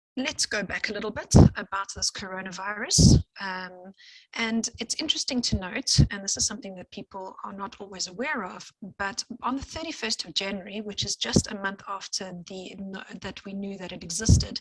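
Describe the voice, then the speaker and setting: In a strong English accent, a woman speaks at a medium pitch with ordinary pitch variation and big swings in loudness, the sound dry and close with no echo. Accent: heavy English accent in Afrikaans. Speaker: scientist. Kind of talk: lecture. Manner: fast.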